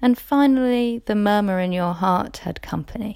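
A woman talks at a moderate pace in a plain, everyday voice. Her pitch is medium, with ordinary variation. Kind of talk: poem performed.

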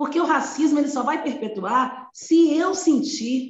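A woman with a high voice speaks with ordinary pitch variation in audible room echo. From Brazil, Belo Horizonte, Minas Gerais. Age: 50s. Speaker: educator and anti-racism activist. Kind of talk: interview conversation.

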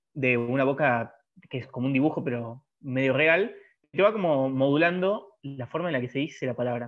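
A man speaks with a Rioplatense accent. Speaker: podcast co-host. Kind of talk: casual chat. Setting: in-person studio recording.

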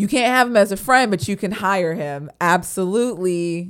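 On a very clean recording with a silent background, a woman speaks with lively intonation. She has an ordinary speaking voice and a moderate pace. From Florida. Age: 20s. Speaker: podcast co-host. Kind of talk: casual chat.

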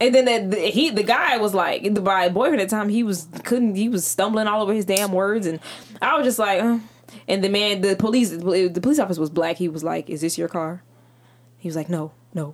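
Speaking at a fairly quick pace, a woman with an unremarkable speaking voice keeps a medium pitch and ordinary pitch variation. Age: 20s. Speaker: podcast guest, podcast co-host. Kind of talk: casual chat.

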